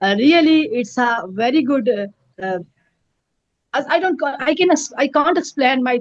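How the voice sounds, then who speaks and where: Lively intonation in a Pakistani Kashmiri accent, at a moderate pace. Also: woman. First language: Pahari. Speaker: peace activist. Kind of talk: interview. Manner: halting, many fillers.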